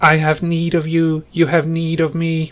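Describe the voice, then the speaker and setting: Doing a robotic, put-on character voice, a man speaks at a moderate pace with a fairly high pitch and a monotone, flat intonation. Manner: monotone, eerie.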